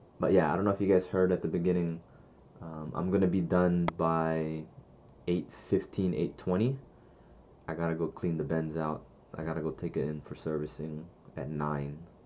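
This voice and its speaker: At a moderate pace, a man talks in a very deep, low voice with fairly even intonation and long, frequent pauses. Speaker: day trader teaching live trading. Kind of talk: live trading stream commentary. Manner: casual, swearing, thinking aloud.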